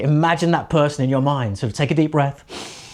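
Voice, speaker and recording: A man talks at a fairly quick pace. His tone is animated. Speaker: presenting coach. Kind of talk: tutorial. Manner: animated, high energy.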